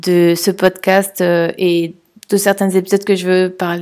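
Here a woman speaks in a flat monotone at medium pitch. Her pace is fairly slow. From France, Toulouse. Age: 30s. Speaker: podcaster. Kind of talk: solo podcast monologue. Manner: hesitant, many fillers.

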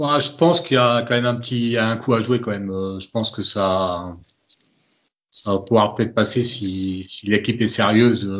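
Moderate-paced speech from a man with a plain, everyday voice, medium pitch and ordinary pitch variation. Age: 30s. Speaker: football fan. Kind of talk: casual chat.

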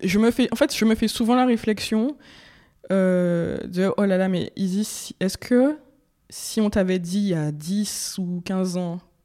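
A woman speaks with medium pitch, ordinary pitch variation and a dark, mellow tone. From Martinique. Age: 20s. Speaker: interviewee sharing hair journey. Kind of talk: interview.

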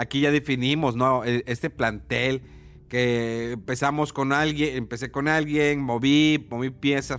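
At a very slow pace, a man with a medium pitch and ordinary pitch variation speaks in a very clean recording with a silent background. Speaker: podcast host. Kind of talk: casual chat.

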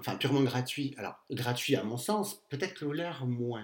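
This man's voice sits at a medium pitch. It moves through very wide pitch swings. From southern France, Castres. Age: 40s. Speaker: podcast guest. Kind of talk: casual chat.

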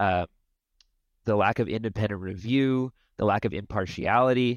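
In a plain, everyday voice, a man speaks at a moderate pace with a fairly low pitch, in a dry, close sound with no echo and a quiet background. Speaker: field researcher sampling wild salmon. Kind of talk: interview.

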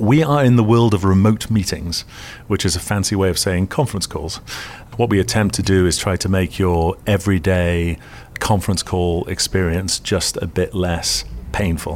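A British accent at a moderate pace. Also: man, very deep, low pitch for a man, ordinary pitch variation. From UK. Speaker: tech company CEO. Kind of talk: interview. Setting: his office.

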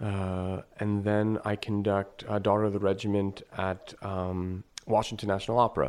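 Hardly pausing, a man with a fairly low pitch speaks at a moderate pace in an American accent, his intonation monotone and flat. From northeastern Pennsylvania, New York family. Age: 30s. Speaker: opera conductor. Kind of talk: casual interview chat. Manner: friendly, casual.

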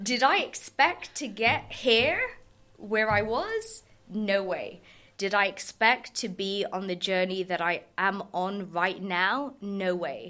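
A bright, sharp tone at a very slow pace, in a southern English accent. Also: woman, medium pitch for a woman, ordinary pitch variation. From southern England, Surrey. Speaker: lawyer and tech founder. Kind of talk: interview. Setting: studio. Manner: animated.

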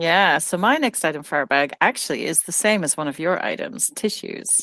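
Dry and close with no echo, a woman's voice moves at a moderate pace. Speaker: podcast co-host. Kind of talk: casual chat.

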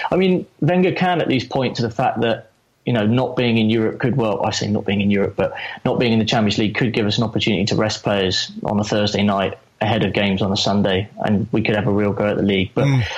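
With noticeable background noise behind him, a man speaks very fast at a fairly low pitch, with ordinary pitch variation and very even loudness. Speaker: football fan. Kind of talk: casual chat.

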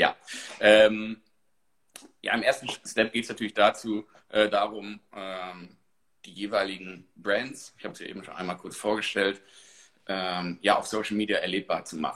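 Monotone and flat, a fairly low-pitched man speaks at a moderate pace with big swings in loudness and long, frequent pauses. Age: 30s. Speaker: marketing manager. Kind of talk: interview.

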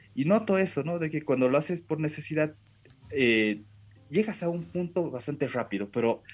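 Speaking at a moderate pace with a Japanese accent, a man uses a fairly high pitch and lively intonation. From Bolivia. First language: Japanese (speaking Spanish). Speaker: language school director and Japanese teacher. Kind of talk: interview. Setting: video call.

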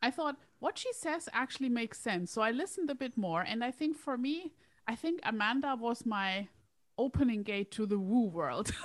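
Speaking at a moderate pace with a non-native accent, a woman uses a high pitch and lively intonation. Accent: foreign-accented English. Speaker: career coach and hypnotherapist. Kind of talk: casual chat.

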